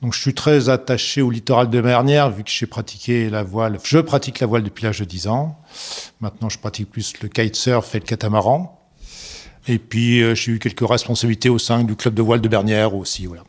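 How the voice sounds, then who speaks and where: A man with a plain, everyday voice, medium in pitch, with ordinary pitch variation and a fairly quick pace. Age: 60s. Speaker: local resident, sailor. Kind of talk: documentary interview.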